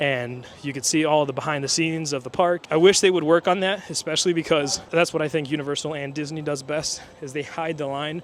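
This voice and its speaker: A man speaks at a fairly quick pace with a fairly high pitch. His intonation stays fairly even over noticeable background noise. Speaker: theme park vlogger. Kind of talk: walking vlog. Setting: outdoors at a theme park. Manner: fast.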